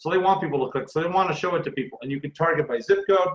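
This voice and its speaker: This man's voice is somewhat breathy. He talks very fast, with ordinary pitch variation. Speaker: branding consultant, workshop presenter. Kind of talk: online workshop presentation.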